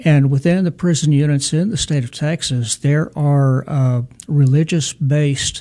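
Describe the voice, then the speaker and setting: A man speaks in a somewhat breathy voice. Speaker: deacon, prison ministry director. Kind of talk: radio interview. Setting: studio.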